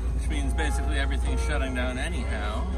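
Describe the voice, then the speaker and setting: A man talks while loud music plays behind him. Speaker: local vlogger. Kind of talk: casual vlog chat. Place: street. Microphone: phone near.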